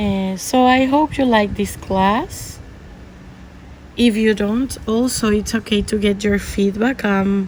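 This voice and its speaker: A woman's very slow speech in a Spanish accent, fairly high-pitched with fairly even intonation, amid noticeable background noise. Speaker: art teacher. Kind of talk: tutorial. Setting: outdoors or open home, windy. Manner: halting, many fillers.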